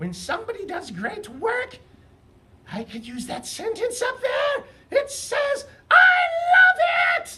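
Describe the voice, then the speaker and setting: Someone shouts in a cartoonish character voice at an extremely high pitch, moving at a fairly slow pace with very wide pitch swings. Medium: puppet. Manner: loud, excited.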